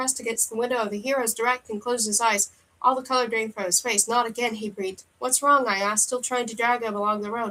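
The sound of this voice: The reading voice sounds unforced. Its intonation is fairly even.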